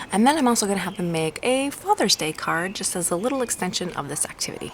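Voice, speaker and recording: Over noticeable background noise, a woman talks at a very fast pace in a medium pitch, her pitch swinging very widely. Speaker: homeschooling parent vlogger. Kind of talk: tutorial. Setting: outdoors on a walk. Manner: casual.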